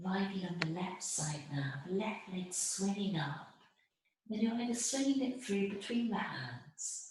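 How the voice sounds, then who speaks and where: A soft-spoken voice talks at a fairly slow pace with lively intonation. Audible room echo surrounds it. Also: woman, medium pitch for a woman. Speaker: yoga teacher. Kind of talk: guided yoga class instruction.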